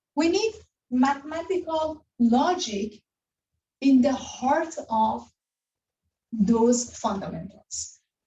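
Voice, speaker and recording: Pausing long and often, a woman talks at a very slow pace in a high voice that swings very widely in pitch. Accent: non-native. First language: not English. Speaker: university lecturer. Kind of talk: lecture.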